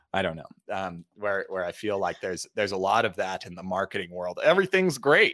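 A man with an American accent talks at a fairly quick pace, his tone bright and sharp and his intonation lively. The sound is dry and close with no echo, on a very clean recording with a silent background. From Utah, US. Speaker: storytelling and presentation coach. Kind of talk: podcast interview. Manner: halting, many fillers.

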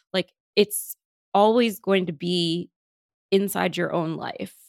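An unremarkable speaking voice from a woman at medium pitch, moderate pace and fairly even intonation, in a very clean, dry, close recording with no echo and a silent background. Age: 30s. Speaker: psychiatrist. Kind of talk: interview.

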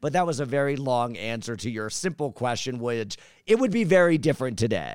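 A man talking at a very fast pace with ordinary pitch variation, on a very clean recording with a silent background. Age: 40s. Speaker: retired YouTuber. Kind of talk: casual chat. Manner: animated.

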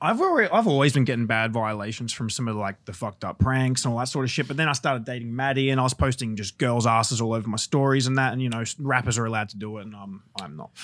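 Very fast pace from a man at medium pitch, hardly any pauses, big swings in loudness. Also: ordinary pitch variation. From Australia. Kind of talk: casual chat.

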